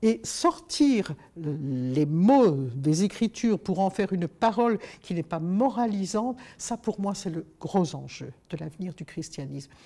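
At a very slow pace, a woman speaks in a medium pitch and a dark, mellow tone, her pitch swinging very widely. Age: 70s. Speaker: author and youth leader; interviewee. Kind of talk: interview. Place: studio.

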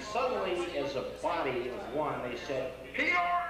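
Music plays clearly behind a man whose voice carries an audible room echo. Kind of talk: informal speech to an audience. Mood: jovial, storytelling. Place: hall. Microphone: pa.

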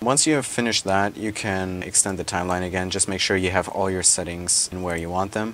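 Here is a man with a very deep, low pitch and fairly even intonation. He keeps a fairly quick pace. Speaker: software tutorial creator. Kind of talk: screen-recorded software tutorial.

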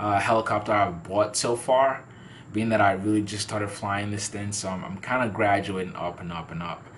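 Light background noise sits under a man's fairly low, somewhat breathy voice as he speaks at a moderate pace with fairly even intonation. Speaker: toy reviewer. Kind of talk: casual product review. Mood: relaxed, amused.

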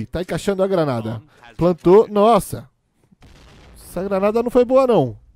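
A man with a high pitch and a dark, mellow tone speaks at a moderate pace. His pitch swings very widely, and he leaves long, frequent pauses. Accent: Brazilian. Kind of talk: live esports commentary. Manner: playful, teasing banter.

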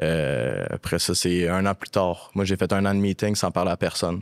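Against a quiet background, a man speaks with a very deep, low pitch and fairly even intonation. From Quebec. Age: 20s. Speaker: actor and casting director in addiction recovery. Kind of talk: personal testimony in casual interview. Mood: serious, reflective, personal story. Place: studio. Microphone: studio mic.

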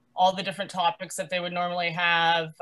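Here is a woman with a medium pitch and a bright, sharp tone. The background is quiet. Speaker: cub scout leader. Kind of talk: video call chat. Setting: video call. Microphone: video call.

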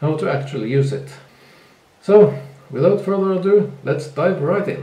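Noticeable background noise under a man's fairly high-pitched speech. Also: ordinary pitch variation, moderate pace. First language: not English. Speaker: photographer. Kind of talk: software tutorial narration.

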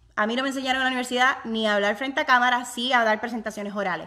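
In a very clean recording with a silent background, a woman talks at a very fast pace with a bright, sharp, animated tone, a fairly high pitch and ordinary pitch variation. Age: 30s. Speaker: online business vlogger. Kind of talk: live stream chat with viewers. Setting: home office, live video.

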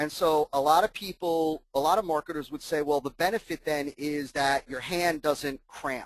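A man with an American accent and an ordinary speaking voice, fairly high in pitch, with fairly even intonation at a moderate pace, in dry, close sound with no echo. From US Northeast (New Jersey). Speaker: marketing consultant. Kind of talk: webinar presentation. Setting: webinar call with screen share.

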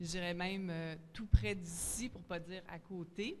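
Over light background noise, a woman talks in a normal speaking voice with fairly even intonation. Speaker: school board administrator. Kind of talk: public consultation statement. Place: hall. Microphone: podium.

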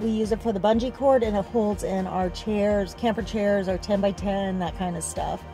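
Against faint music in the background, a woman delivers her lines in a flat monotone at a moderate pace. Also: dry sound with no echo. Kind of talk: casual vlog chat. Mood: pleased, relaxed. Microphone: phone near.

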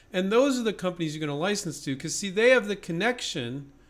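A man speaks with lively intonation. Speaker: invention licensing coach. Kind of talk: tutorial. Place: office.

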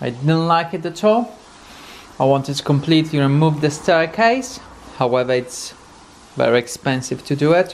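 A man's fairly high voice with lively intonation

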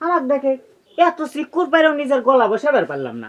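Using a put-on character voice with a fairly bright tone, the speaker moves at a fairly quick pace through very wide pitch swings. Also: man, extremely high pitch for a man.

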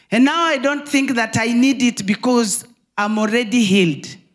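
The intonation is lively. The background is quiet. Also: woman. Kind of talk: testimony. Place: hall. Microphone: handheld.

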